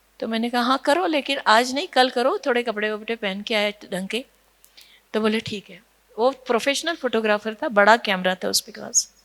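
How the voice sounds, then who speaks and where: A woman with a Marathi accent, fairly high pitch and big swings in loudness. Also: ordinary pitch variation. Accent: Marathi-tinged Hindi. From Nashik, Maharashtra, India. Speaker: social worker. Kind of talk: conference talk. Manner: storytelling with hesitations.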